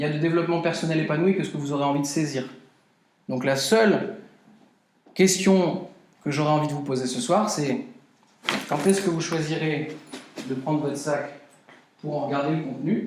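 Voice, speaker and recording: A man speaks at a moderate pace with ordinary pitch variation, leaving long, frequent pauses, and audible room echo surrounds his voice. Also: fairly high pitch for a man. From Brazil. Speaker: personal development speaker. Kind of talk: conference talk.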